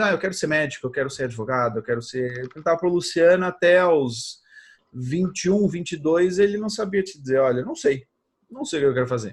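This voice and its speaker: Against a quiet background, a man speaks at a fairly quick pace in a high pitch with lively intonation. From Portugal. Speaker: social media advertising expert. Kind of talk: interview.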